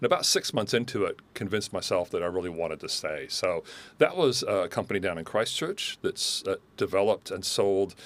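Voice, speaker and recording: Speaking fairly quickly in an American accent, a man is heard on a very clean recording with total background silence. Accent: residual American. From US, Southern California (Los Angeles). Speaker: manufacturing executive. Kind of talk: podcast interview.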